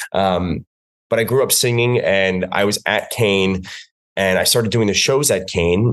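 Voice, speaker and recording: With an American accent, a man speaks at a fairly low pitch and fairly even intonation in a plain, everyday voice. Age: 30s. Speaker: fitness instructor. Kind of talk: casual chat.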